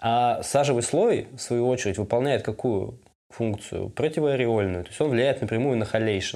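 His tone is dark and mellow. This man speaks with ordinary pitch variation. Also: medium pitch for a man, moderate pace. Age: 30s. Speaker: photographer. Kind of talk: casual chat.

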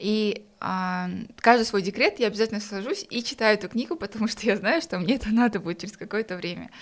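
A woman talks very fast at a fairly high pitch, with vocal fry and ordinary pitch variation. The recording is very clean, with a silent background. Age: 20s. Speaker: entrepreneur. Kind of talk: casual chat.

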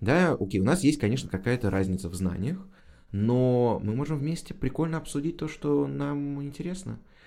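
A man speaks at a moderate pace in a dark, mellow tone at medium pitch, his voice making very wide pitch swings. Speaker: history teacher. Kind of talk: casual chat. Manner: animated.

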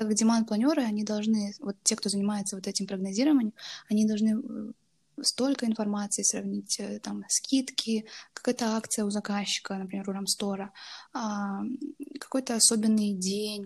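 A woman talks at a moderate pace with a fairly high pitch, somewhat breathy and with fairly even intonation. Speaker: university student and intern. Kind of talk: interview. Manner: hesitant, many fillers.

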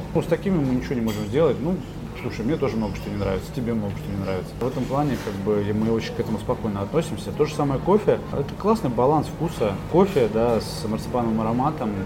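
A man talks at a very fast pace over music playing in the background. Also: medium pitch for a man, lively intonation. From Kaliningrad, Russia. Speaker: confectionery factory owner and restaurateur. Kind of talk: interview chat. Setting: restaurant.

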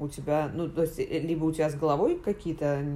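The voice belongs to a woman with a fairly low pitch. It has a dark, mellow tone. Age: 30s. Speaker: journalist. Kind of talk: casual chat. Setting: home recording.

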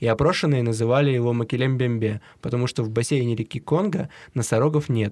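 Over a silent background on a very clean recording, a man speaks at a fairly quick pace. He has a plain, everyday voice at a medium pitch with ordinary pitch variation. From Siberia. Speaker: podcast co-host. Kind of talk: casual chat.

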